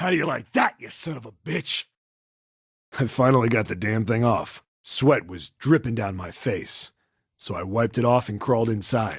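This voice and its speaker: A man puts on a gruff, raspy character voice at medium pitch and a moderate pace, his loudness swinging widely. The recording is very clean, with a silent background. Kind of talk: hard-boiled voice-over. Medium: solo performance. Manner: gruff, profane.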